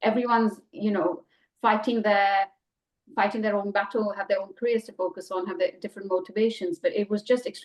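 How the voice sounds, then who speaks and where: An Indian accent at a fairly quick pace, with ordinary pitch variation. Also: woman, fairly high pitch for a woman. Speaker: journalist, editor. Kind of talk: interview. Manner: halting, many repetitions and fillers; animated.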